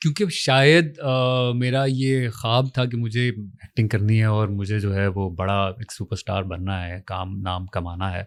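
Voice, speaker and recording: Heard on a very clean recording with a silent background, a man uses a plain, everyday voice at a fairly low pitch, with ordinary pitch variation and hardly any pauses. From Punjab, Pakistan. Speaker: actor. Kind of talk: interview.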